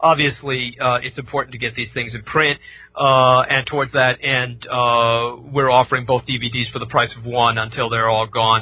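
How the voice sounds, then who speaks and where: Using a medium pitch and an American accent, a man speaks in a bright, sharp, monotone voice with hardly any pauses. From San Francisco, US West Coast. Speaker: former military librarian, author. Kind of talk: radio interview. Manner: fast; halting, many fillers.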